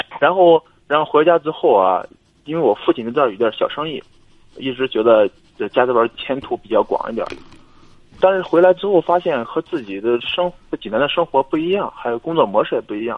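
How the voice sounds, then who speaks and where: A man talks at a fairly quick pace and a fairly high pitch, with lively intonation. His loudness swings widely, and he leaves long, frequent pauses. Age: 20s. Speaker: caller seeking career advice. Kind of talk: phone-in advice call. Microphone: noisy line, told to speak into the mic.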